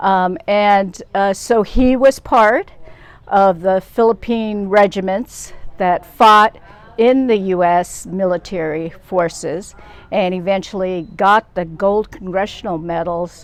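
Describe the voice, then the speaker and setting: Speaking at a very slow pace, a woman with a Pacific Northwest accent keeps a medium pitch. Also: ordinary pitch variation. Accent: American, Pacific Northwest. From US Pacific Northwest, Seattle. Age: 70s. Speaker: social justice activist. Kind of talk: interview.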